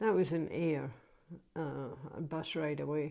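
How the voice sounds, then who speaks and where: Against a quiet background, a woman speaks with a dark, mellow tone and a very deep, low pitch. Her intonation is fairly even and her pace fairly slow. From Scotland, Ayrshire (Troon). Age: 70s. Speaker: grandmother interviewed by grandchild. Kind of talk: casual family interview. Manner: halting, with frequent hesitations.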